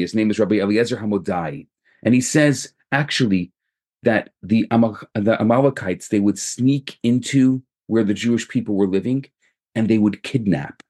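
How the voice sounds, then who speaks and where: A man speaks at a moderate pace in a medium pitch, with ordinary pitch variation and a dry, close sound with no echo. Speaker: rabbi. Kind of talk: recorded sermon. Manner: calmer than usual delivery.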